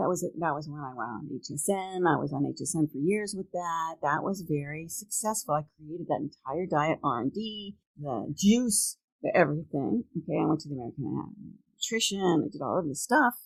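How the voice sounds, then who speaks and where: A woman with an unremarkable speaking voice, fairly low pitch, lively intonation and a fairly quick pace with hardly any pauses, plus big swings in loudness, on a very clean recording with a silent background. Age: 60s. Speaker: entrepreneur and podcast host. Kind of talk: casual interview chat.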